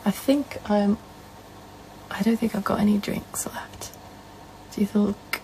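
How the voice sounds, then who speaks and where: A woman whispers rather slowly, stopping often for long stretches, while noticeable noise fills the background. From northern England. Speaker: live streamer. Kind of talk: casual chat. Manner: soft-spoken.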